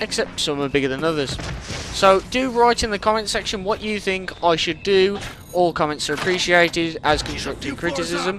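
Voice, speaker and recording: Against noticeable background noise, a high-voiced man with a British accent speaks with ordinary pitch variation. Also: moderate pace. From Britain. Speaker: gaming commentator. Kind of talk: post-recorded gameplay commentary. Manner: casual, rambling.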